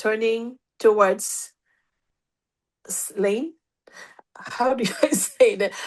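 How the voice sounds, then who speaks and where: A woman's fairly high voice at a very slow pace, with ordinary pitch variation and long, frequent pauses. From Philippines, Cagayan de Oro and Cebu. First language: Filipino (Tagalog/Cebuano). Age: 50s. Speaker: nurse. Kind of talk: interview. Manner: halting, self-correcting.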